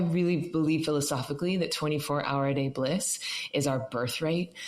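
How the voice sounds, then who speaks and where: In an animated tone, a woman talks at a fairly quick pace with ordinary pitch variation. Noticeable background noise and audible room echo are present. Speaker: meditation teacher. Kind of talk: interview. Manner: fast.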